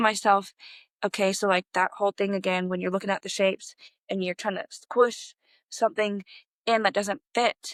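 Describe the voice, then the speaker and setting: A woman with a normal speaking voice at medium pitch and moderate pace, fairly even in intonation, on a very clean recording with a silent background. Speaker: podcast host. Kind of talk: personal podcast monologue. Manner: casual, conversational.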